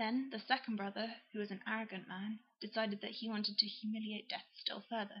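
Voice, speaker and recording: With an English accent, a woman talks at a fairly quick pace in a fairly high voice with fairly even intonation. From England. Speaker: YouTuber. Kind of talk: reading aloud; casual chat. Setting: at home on a sofa with laptop.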